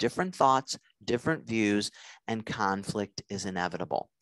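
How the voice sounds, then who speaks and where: A man speaks with a dry, close sound and no echo. The background is quiet. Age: 50s. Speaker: nurse practitioner and relationship lecturer. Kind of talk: lecture.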